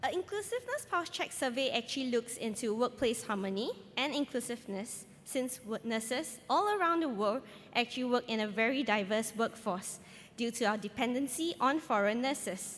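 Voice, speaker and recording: At a moderate pace, a woman speaks in a high pitch with lively intonation. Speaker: nurse researcher. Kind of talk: conference presentation.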